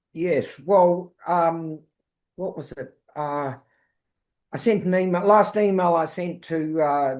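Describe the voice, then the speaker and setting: Very slowly, a woman speaks with a New Zealand accent at fairly low pitch and with ordinary pitch variation. The background is quiet. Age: 70s. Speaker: wildlife carer. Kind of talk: interview.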